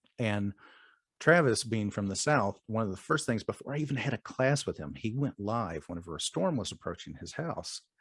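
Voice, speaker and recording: Over a quiet background, a man at medium pitch speaks at a moderate pace with very wide pitch swings, the sound dry and close with no echo. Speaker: single dad and DDPY community member. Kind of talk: interview answer.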